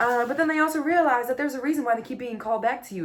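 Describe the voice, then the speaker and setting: The tone is animated. The speaker is a woman. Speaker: tarot card reader. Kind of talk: tarot reading monologue. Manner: fast.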